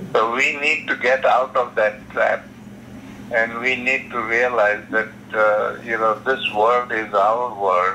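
The speech moves at a very slow pace with fairly even intonation. Loudness holds very even under noticeable background noise. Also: man, medium pitch for a man. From South Africa. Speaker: author and nonviolence advocate. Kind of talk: interview answer.

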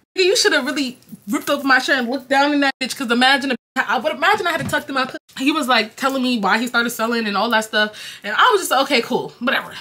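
A woman's high, raised, projected voice in an American accent, very fast and animated, with lively intonation and big swings in loudness. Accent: New York accent with Jamaican tinge. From New York, Jamaican family. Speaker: YouTuber; storyteller vlogger. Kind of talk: casual storytime vlog. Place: home room. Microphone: camera far.

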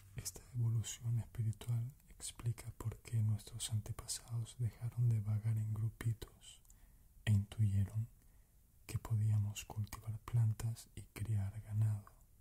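Soft-spoken and whispering at a very slow pace, the voice comes through noticeable background noise. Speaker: narrator of spiritual text. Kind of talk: reading of spiritual book passage. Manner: soft whispered ASMR reading.

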